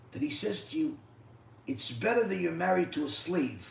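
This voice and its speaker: A man talks in an animated tone at a moderate pace, with audible room echo and light background noise. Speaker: rabbi, Torah teacher. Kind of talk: religious lecture (live-streamed Torah class). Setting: live stream. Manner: animated, rhetorical and repetitive. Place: home room.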